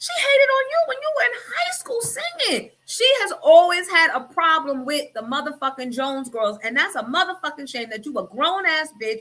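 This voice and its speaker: A woman's raised, projected voice at an extremely high pitch makes very wide pitch swings, moving at a moderate pace with hardly any pauses. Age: 40s. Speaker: radio host. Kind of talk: casual chat. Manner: animated.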